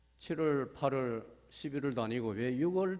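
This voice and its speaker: A man speaks with ordinary pitch variation. Audible room echo is present. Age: 70s. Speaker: retired pastor. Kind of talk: sermon. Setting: church.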